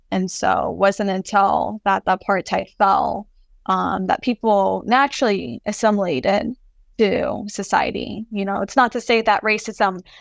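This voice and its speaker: In an American accent, a woman speaks at a fairly slow pace with a medium pitch, vocal fry and ordinary pitch variation, recorded very cleanly against a silent background with a dry, close sound and no echo. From US, first-generation Palestinian American. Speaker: artist. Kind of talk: interview conversation.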